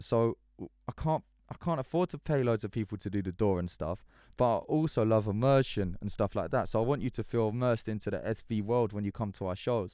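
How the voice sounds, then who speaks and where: A man with an English accent speaks at medium pitch and a fairly quick pace, with ordinary pitch variation and a dark, mellow tone. The recording is very clean with a silent background and a dry, close sound with no echo. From English countryside. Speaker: musician. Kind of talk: live stream chat. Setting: live stream. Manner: casual, animated.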